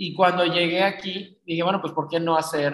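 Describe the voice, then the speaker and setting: A man talks in an ordinary speaking voice. His pace is fairly quick and his intonation fairly even. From Mexico, Cancún. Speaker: magazine publisher and event organizer. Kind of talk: interview conversation.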